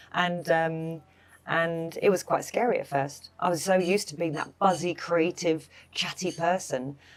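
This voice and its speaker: A woman's fairly low voice at a moderate pace. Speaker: wellness expert and chef. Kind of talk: casual chat. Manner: animated.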